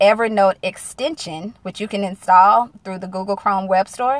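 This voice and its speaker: Using fairly even intonation and medium pitch, a woman with a Southern US accent talks at a moderate pace. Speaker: single-mom business coach. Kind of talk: live-stream casual talk. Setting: in a car.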